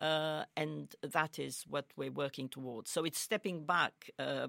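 A woman with a very deep, low pitch speaks at a fairly slow pace in a dry, close sound with no echo. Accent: Romanian. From Romania. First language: Romanian. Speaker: international organisation spokesperson. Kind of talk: interview.

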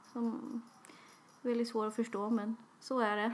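A woman talks at a moderate pace. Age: 20s. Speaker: podcast co-host. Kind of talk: casual chat.

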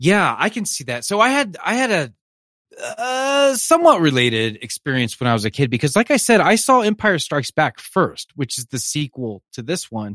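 Dry and close with no echo, a man speaks in a bright, sharp tone at high pitch. His pitch swings very widely at a moderate pace. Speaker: podcast host, film fan. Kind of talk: casual chat.

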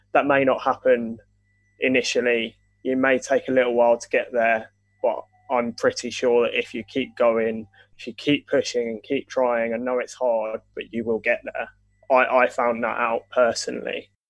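Moderate-paced speech with an English accent. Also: man. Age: 20s. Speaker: football writer. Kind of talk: interview. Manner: hesitant, many fillers.

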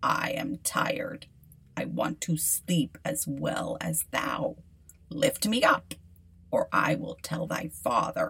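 Using a put-on character voice, a woman speaks at a fairly slow pace. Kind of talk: archaic fairy-tale dialogue. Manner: insistent, demanding.

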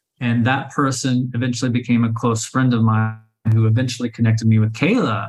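In an American accent, a man speaks at a medium pitch with monotone, flat intonation, very even loudness and a somewhat breathy quality. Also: fairly quick pace. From Oklahoma City, Oklahoma. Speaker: author and traveler. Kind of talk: casual interview chat.

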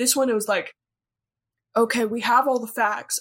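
A woman with an American accent speaks in a normal speaking voice, her fairly high pitch carried on fairly even intonation. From United States. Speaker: film podcaster. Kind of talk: casual chat.

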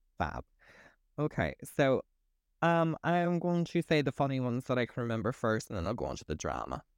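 A man with a strong Northern Irish accent at medium pitch, fairly quick with long, frequent pauses, animated in tone with lively intonation, on a very clean recording with a silent background and a dry, close sound with no echo. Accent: Northern Irish, thick. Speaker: podcast host. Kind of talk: casual chat. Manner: animated, swears a lot.

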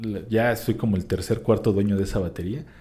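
A man's somewhat breathy voice has a dark, mellow tone and a fairly low pitch. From Mexico, Querétaro. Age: 30s. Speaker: drummer. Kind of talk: interview conversation.

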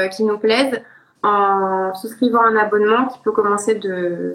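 This woman has an ordinary speaking voice, a fairly high pitch and a moderate pace. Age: 20s. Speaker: ceramicist. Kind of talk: casual interview.

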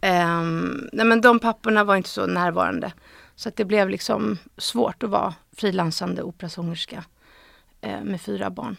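A woman talks at a medium speed. The background is silent and the recording very clean. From Stockholm, Sweden. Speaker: actress and screenwriter. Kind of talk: casual interview. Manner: hesitant, many fillers.

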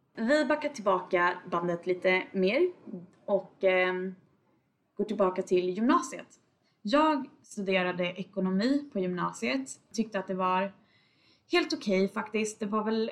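Her intonation is lively as the woman talks at a fairly slow pace. Long, frequent pauses break up her speech. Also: medium pitch for a woman. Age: 20s. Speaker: podcast host, data analyst. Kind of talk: casual solo podcast monologue.

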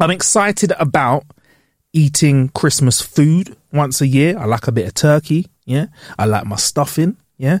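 An animated man with a London accent, fairly high in pitch with lively intonation, at a fairly slow pace in a dry, close sound with no echo. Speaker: podcast host. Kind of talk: casual chat.

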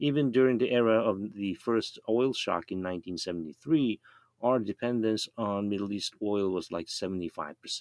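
A man with a Japanese accent talks at a moderate pace with a fairly low pitch. The sound is dry and close with no echo, over a quiet background. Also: ordinary pitch variation. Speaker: professor. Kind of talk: panel discussion.

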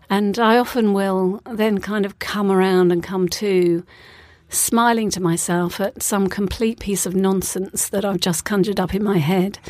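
Here is a woman with a British accent at a medium pitch. She speaks at a fairly slow pace with fairly even intonation. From UK. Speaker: author and facilitator. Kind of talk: casual interview. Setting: studio. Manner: calm, relaxed.

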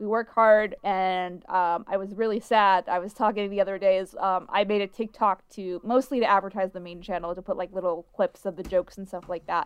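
Talking at a fairly quick pace with hardly any pauses, a woman with an American accent and medium pitch keeps a monotone, flat intonation while her loudness swings widely, in a dry, close sound with no echo. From US East Coast. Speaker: podcast host. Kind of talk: casual chat. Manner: stutters.

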